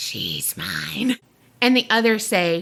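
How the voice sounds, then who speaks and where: A female-sounding voice uses a put-on character voice pitched fairly high. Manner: possessive whisper.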